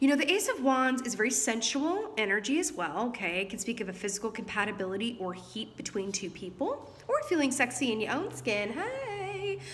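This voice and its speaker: A woman's fairly high voice with very wide pitch swings, at a fairly quick pace with hardly any pauses, against noticeable background noise. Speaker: tarot reader. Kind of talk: tarot reading. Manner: fast.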